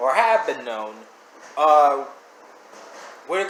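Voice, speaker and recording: His pitch swings very widely as a man speaks at a fairly slow pace over noticeable background noise. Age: 20s. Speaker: reaction video creator. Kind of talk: casual commentary. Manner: stuttering; rambling, animated.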